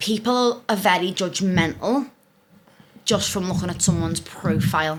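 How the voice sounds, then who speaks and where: A woman speaks at a moderate pace, her medium-pitched voice showing ordinary pitch variation. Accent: Scouse. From northern England, Liverpool. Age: 20s. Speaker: relationship content creator. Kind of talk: casual podcast interview.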